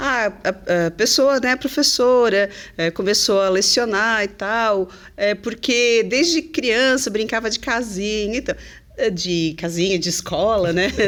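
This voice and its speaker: With an ordinary speaking voice, a woman talks at a fairly slow pace in a fairly high pitch, her intonation lively. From southern Brazil, Santa Catarina (Criciúma). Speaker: English teacher. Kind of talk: podcast interview. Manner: chatty, many fillers.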